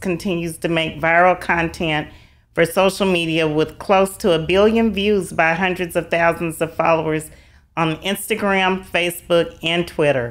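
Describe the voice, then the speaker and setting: A woman with a Southern US accent, fairly low in pitch, at a moderate pace with fairly even intonation. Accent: Southern twang. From US South. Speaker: podcast host. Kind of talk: interview; reading aloud.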